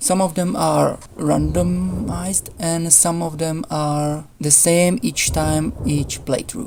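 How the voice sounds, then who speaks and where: A woman talks at a very slow pace with hardly any pauses. Background noise is noticeable. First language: not English. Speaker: gaming YouTuber. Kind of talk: tutorial. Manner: halting. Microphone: poor voice recording.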